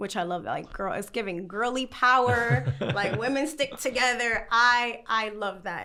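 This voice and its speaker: Fairly high in pitch, a woman talks at a fairly slow pace with vocal fry. Her intonation is lively. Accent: New York. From New York, the Bronx. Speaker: content creator. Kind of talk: interview answer.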